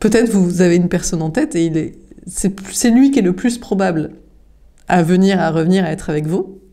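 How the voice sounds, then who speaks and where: A woman talks at a medium pitch. Her pace is fairly quick and her pitch varies in an ordinary way. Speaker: tarot card reader. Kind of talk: tarot reading. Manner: halting with fillers.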